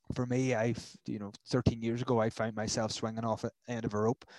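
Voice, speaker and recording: A man with a Northern Irish accent has a dark, mellow tone. The sound is dry and close, with no echo. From Northern Ireland. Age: 30s. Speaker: mental health charity worker. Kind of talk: interview.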